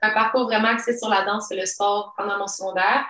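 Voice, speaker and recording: A woman's voice, fairly high in pitch. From immigrated to Quebec at age 10. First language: not French (speaking French). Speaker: entrepreneur. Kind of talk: interview.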